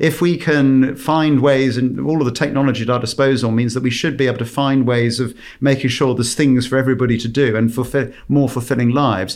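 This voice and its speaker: With an unremarkable speaking voice, a man talks at a fairly quick pace in a medium pitch, with fairly even intonation, very even loudness and hardly any pauses. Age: 50s. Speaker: company CEO and visiting professor. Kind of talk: panel discussion.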